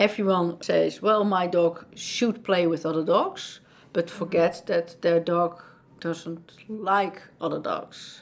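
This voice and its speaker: Speaking very slowly, a woman keeps her fairly low pitch in a fairly even intonation. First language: Dutch. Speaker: dog behaviorist and trainer at an animal shelter. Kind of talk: interview.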